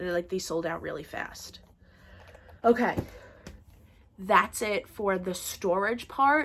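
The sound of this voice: The voice is nasal and moves at a slow pace, with ordinary pitch variation. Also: woman, medium pitch for a woman, fairly bright tone.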